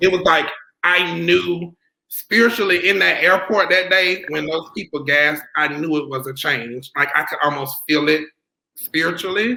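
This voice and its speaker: In a Southern US accent, a man talks at a moderate pace with a fairly high pitch, ordinary pitch variation and vocal fry. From US South, South Carolina. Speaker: fashion designer. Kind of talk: interview.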